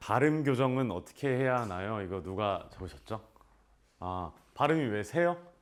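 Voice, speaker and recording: A man's animated tone at a moderate pace, full of lively intonation. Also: big swings in loudness. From South Korea, Namyangju. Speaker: actor. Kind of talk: casual Q&A talk to students. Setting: school visit with students.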